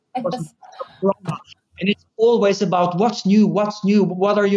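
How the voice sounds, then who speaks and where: Speaking at a moderate pace, a man with a Norwegian accent has a high pitch and fairly even intonation. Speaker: furniture company CEO. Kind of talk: interview conversation. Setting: remote recording.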